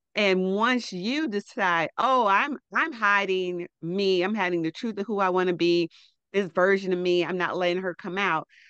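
A woman uses a normal speaking voice, her pitch varying in an ordinary way as she talks at a moderate pace. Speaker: fashion stylist and coach. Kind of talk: casual interview chat.

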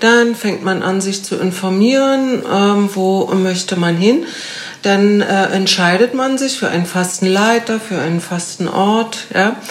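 Over noticeable background noise, a woman speaks very slowly at medium pitch with ordinary pitch variation. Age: 50s. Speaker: physiotherapist and fasting coach. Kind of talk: casual interview. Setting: in person in Berlin.

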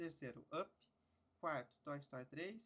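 A man's fairly high-pitched, fairly slow delivery with ordinary pitch variation in a normal speaking voice. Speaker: podcast host. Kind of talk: casual chat.

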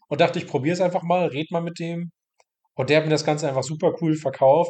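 A man talking at a very fast pace. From Mecklenburg-Western Pomerania, northeastern Germany. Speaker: trainee games journalist. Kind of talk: interview. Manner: casual, filler-heavy.

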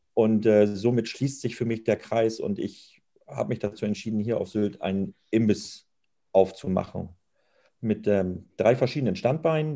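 Fairly slow, dark and mellow speech with ordinary pitch variation. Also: man. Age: 50s. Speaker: snack bar owner and chef. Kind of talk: interview.

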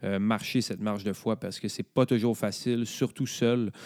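A man with a Quebec accent speaks at a moderate pace in a dark, mellow tone and flat monotone. The recording is very clean, dry and close, with a silent background and no echo. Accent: Québécois French. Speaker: podcast host. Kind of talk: casual chat.

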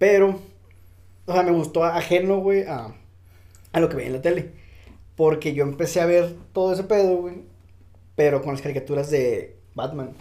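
The pace is moderate. Long pauses come often. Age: 20s. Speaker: podcast co-host. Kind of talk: casual chat.

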